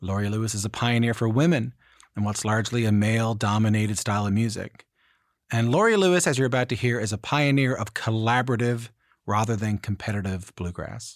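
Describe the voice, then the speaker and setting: At a fairly quick pace, a man with a Newfoundland accent talks at a medium pitch with ordinary pitch variation, in a very clean recording with a silent background. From Newfoundland, Canada. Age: 30s. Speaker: podcast host. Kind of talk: podcast intro and interview.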